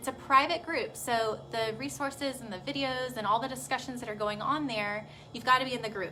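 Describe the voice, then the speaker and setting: Speaking fairly quickly, a woman shows ordinary variation in her pitch. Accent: Texas. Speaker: pediatric physical therapist. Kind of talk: live video talk to parents. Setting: Facebook live video. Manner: casual, chatty.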